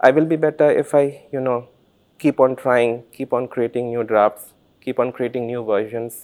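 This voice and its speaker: A man with an Indian accent speaks at a moderate pace and medium pitch, his intonation fairly even, in a dry, close sound with no echo on a very clean recording over a silent background. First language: Santali. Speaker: author and doctor. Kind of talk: interview. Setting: literature festival.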